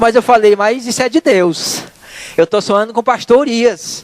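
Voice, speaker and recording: Over noticeable background noise, a man talks with ordinary pitch variation in an extremely high voice, the sound dry and close with no echo. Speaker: lay preacher. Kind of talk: sermon. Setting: church.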